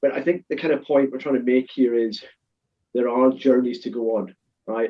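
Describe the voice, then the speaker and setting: A man with a Scottish accent speaks at a fairly quick pace, at medium pitch with ordinary pitch variation. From Scotland. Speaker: supply chain consultant. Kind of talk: webinar panel talk. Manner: fast.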